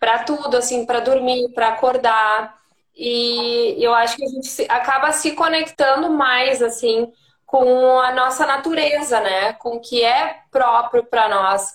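A woman with a southern Brazilian accent, high-pitched, at a fairly slow pace with ordinary pitch variation. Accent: southern Brazilian (gaúcho) Portuguese. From Rio Grande do Sul, Brazil (Santana do Livramento). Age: 30s. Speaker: yoga teacher. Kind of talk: casual chat.

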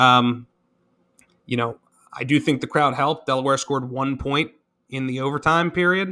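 Fairly high male voice with a bright, sharp tone, fairly even intonation, a moderate pace and long, frequent pauses, recorded very cleanly against a silent background. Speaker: sports podcast co-host. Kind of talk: casual sports analysis chat.

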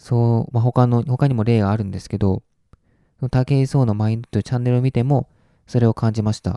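A man's medium-pitched voice with a dark, mellow tone, fairly even intonation and a fairly quick pace, dry and close with no echo on a very clean recording with a silent background. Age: 20s. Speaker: solo podcaster. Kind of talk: casual monologue.

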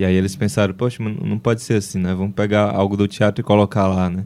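At a moderate pace, a man with a fairly low pitch and a dark, mellow tone keeps his intonation fairly even. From Ceará, Brazil. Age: 20s. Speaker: journalist and author. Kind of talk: interview.

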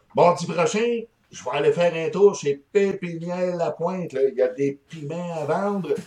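Speaking at a fairly slow pace, a man uses a high pitch and an animated tone. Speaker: hot pepper and hot sauce expert, shop owner. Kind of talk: casual interview.

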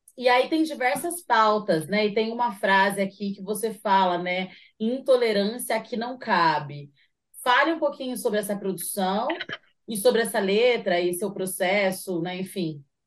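A woman talks at a fairly slow pace with lively intonation. It is a normal speaking voice. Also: medium pitch for a woman. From São José dos Campos, Vale do Paraíba, Brazil. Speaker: radio show host and rapper. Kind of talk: casual interview chat.

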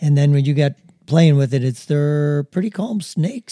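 A man speaks fairly slowly with a fairly high pitch and ordinary pitch variation, his voice somewhat breathy. His tone is dark and mellow, and the sound is dry and close with no echo. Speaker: grandfather co-host. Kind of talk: casual chat. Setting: video podcast.

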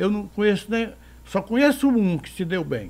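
This man has a high pitch with a dark, mellow tone. He speaks at a moderate pace. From Ceará, Brazil (Canindé). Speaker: veteran forró accordionist and bandleader. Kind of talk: casual interview. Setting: his home.

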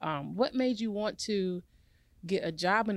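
A woman with an American accent uses a normal speaking voice, lively intonation and a moderate pace. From North Carolina, Garner. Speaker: podcast host. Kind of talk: casual chat.

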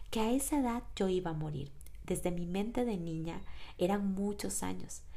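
Audible room echo surrounds a woman speaking at a fairly slow pace, her dark, mellow tone sitting at a medium pitch with ordinary pitch variation. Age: 30s. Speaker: podcast host and personal coach. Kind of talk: reflective monologue.

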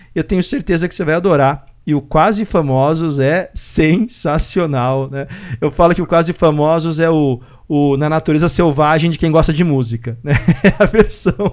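Fairly high for a man, this man's pitch varies in an ordinary way at a moderate pace, in an unremarkable speaking voice. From Brazil. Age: 40s. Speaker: podcast host. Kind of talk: casual chat.

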